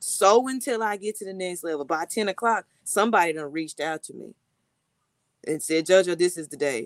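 An ordinary speaking voice: a woman with an American accent, fairly low in pitch, with lively intonation and big swings in loudness at a fairly quick pace, in a dry, close sound with no echo. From Texas. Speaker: tree planting activist and retreat founder. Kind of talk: casual interview chat.

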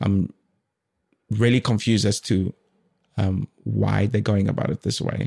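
The voice has a dark, mellow tone and lively intonation, in a dry, close sound with no echo. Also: man. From South Africa. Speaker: artist and content creator. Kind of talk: casual chat.

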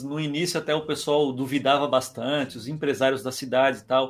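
With fairly even intonation and a fairly quick pace, a man speaks at a fairly high pitch in a plain, everyday voice. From Criciúma, Santa Catarina, Brazil. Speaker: entrepreneur and digital marketing expert. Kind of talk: podcast interview.

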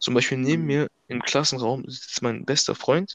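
This man's voice sits at a medium pitch and shows ordinary pitch variation. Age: young. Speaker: amateur football player. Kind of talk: casual chat. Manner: polite.

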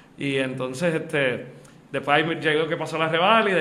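A man talks at a fairly quick pace with a fairly high pitch. Audible room echo and noticeable background noise fill the recording. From Puerto Rico, Aguada. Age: young. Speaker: lawyer and accountant. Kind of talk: interview.

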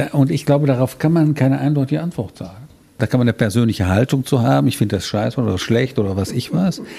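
Vocal fry marks this man's medium-pitched voice. He speaks at a very fast pace with lively intonation. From Rhineland, Germany. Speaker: physician. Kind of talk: interview.

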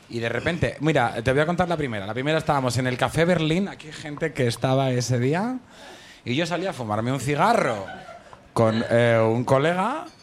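Through noticeable background noise and audible room echo, a man with a fairly high pitch talks at a fairly quick pace with lively intonation. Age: 30s. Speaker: actor. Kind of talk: casual chat. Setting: stage with audience.

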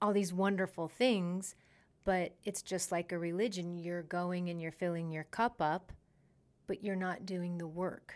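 Heard in a very clean recording with a silent background, the speech has a monotone, flat intonation. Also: woman, fairly low pitch for a woman, fairly slow pace. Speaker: spirituality podcast host. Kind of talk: casual chat.

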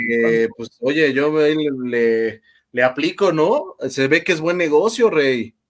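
The speaker has a Mexican accent and lively intonation at a very slow pace. The recording is very clean, with a silent background. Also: man, fairly high pitch for a man. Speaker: livestream host. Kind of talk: casual chat.

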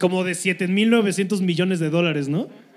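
A man speaks at a high pitch and a fairly slow pace. Noticeable background noise is present. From Cuernavaca, Morelos, Mexico. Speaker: comedian, podcast co-host. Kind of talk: live comedy podcast chat. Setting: live show with audience.

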